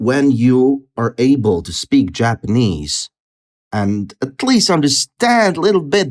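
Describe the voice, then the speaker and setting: Recorded in a dry, close sound with no echo, the speaker has a Russian accent and very wide pitch swings. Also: man. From Latvia, Russian-speaking city. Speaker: polyglot, language expert. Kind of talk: podcast interview.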